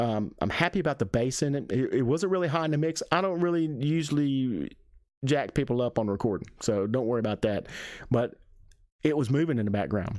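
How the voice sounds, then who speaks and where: A man with an Alabama accent speaks at a fairly quick pace and a medium pitch, with lively intonation and very even loudness, in a very clean recording with a silent background. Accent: Southern US (Alabama). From Alabama, US South. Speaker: music reviewer. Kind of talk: music reaction review. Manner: halting, repeats words.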